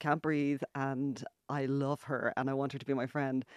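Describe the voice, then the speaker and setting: A woman with an Irish accent at a moderate pace, dry, close sound with no echo, quiet background. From Ireland. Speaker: author and journalist. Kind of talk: radio interview. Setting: radio studio.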